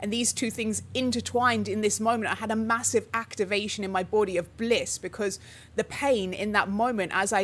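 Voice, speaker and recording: The recording is very clean, with a silent background, and carries a normal speaking voice. The pace is moderate and the intonation fairly even. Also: woman. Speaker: spiritual teacher, channel host. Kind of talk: live stream talk. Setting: livestream with chat.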